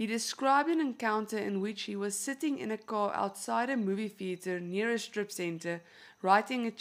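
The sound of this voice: Reading in an unforced voice.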